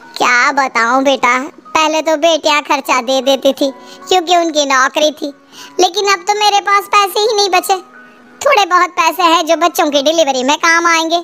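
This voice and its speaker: Using a cartoonish character voice, a woman speaks at an extremely high pitch and moderate pace over faint music in the background. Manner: motherly, persuasive.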